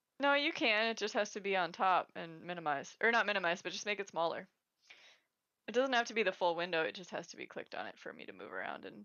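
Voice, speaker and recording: The woman talks at a fairly quick pace. She has an American accent. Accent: slight Wisconsin accent, stronger when tipsy. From Wisconsin, US Upper Midwest. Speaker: professional disc golfer, co-host. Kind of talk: casual chat livestream.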